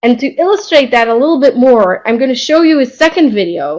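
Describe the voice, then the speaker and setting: A woman speaks at a moderate pace with lively intonation. She has a normal speaking voice. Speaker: professor of entrepreneurship. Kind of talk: lecture. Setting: webinar.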